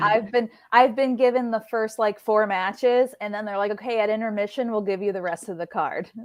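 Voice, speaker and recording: A woman's ordinary speaking voice, fairly high in pitch, at a fairly quick pace with hardly any pauses and fairly even intonation. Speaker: ring announcer. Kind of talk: casual interview answer.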